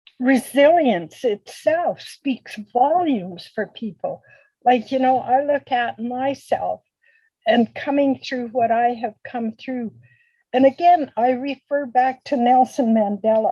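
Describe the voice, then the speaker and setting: A woman speaks at a very slow pace in a high voice with a dark, mellow tone and ordinary pitch variation. The sound is dry and close, with no echo. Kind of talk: interview answer.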